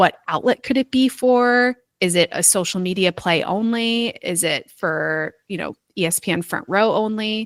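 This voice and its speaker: A woman with a normal speaking voice and an American accent, medium pitch, ordinary pitch variation and moderate pace, in a dry, close sound with no echo. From US Northeast, New York (Westchester). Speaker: sports public relations staffer. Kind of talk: interview.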